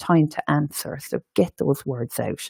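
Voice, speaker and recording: A woman with an Irish accent has a very deep, low voice and a dark, mellow tone, recorded with a dry, close sound and no echo. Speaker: education and training manager. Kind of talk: webinar presentation.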